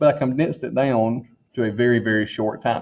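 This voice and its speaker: A man with an ordinary speaking voice talks at a fairly quick pace, medium in pitch, with fairly even intonation. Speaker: high school chemistry teacher. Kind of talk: recorded class orientation.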